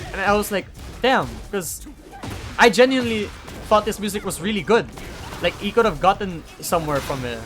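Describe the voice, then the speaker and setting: A man speaks fairly quickly in a high pitch, with lively intonation. He takes long, frequent pauses, and music plays in the background. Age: young. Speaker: YouTuber. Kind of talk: casual vlog monologue. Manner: halting, stuttering.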